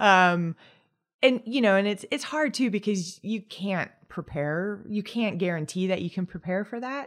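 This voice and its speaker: In a very clean recording with a silent background, a woman uses an ordinary speaking voice at medium pitch, with ordinary pitch variation and a moderate pace. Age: 40s. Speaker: retired pro cyclist and coach. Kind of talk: casual chat.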